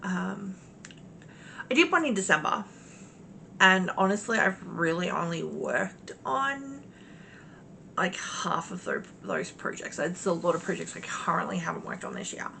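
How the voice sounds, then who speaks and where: A woman with an Australian accent at a moderate pace, with long, frequent pauses and big swings in loudness. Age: 40s. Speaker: cross-stitch vlogger. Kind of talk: casual chat. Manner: hesitant, many fillers.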